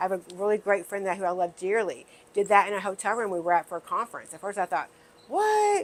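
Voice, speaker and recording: Speaking at a fairly quick pace, a woman has a fairly high pitch and an unremarkable speaking voice. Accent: American. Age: 60s. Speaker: wellness video host. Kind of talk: casual talk to camera.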